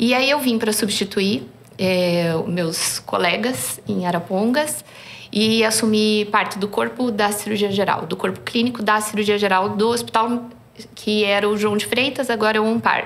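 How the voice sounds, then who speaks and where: A woman at a moderate pace, very even in loudness, with ordinary pitch variation, audible room echo and noticeable background noise. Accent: Curitiba. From southern Brazil, Curitiba. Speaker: surgeon. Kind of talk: podcast interview.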